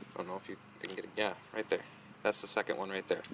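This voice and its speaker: A man is recorded with a dry sound, no echo and light background noise. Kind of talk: tutorial. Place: street. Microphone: phone near.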